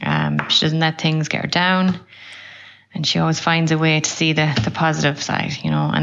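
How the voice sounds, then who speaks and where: Speaking at a fairly quick pace, a woman with an Irish accent is heard against noticeable background noise. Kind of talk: recorded tribute message.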